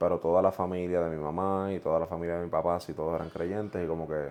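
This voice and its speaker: With a very deep, low pitch and a dark, mellow tone, a man speaks at a fairly quick pace with fairly even intonation. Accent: Puerto Rican. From Puerto Rico, central island (Juntas). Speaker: pastor. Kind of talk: casual chat.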